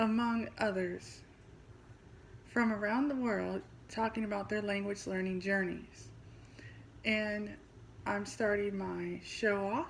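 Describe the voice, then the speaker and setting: A woman with a Midwestern US accent speaks at a very slow pace. Audible room echo surrounds her voice. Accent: US Midwest. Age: 40s. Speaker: podcast host and language teacher. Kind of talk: scripted self-introduction.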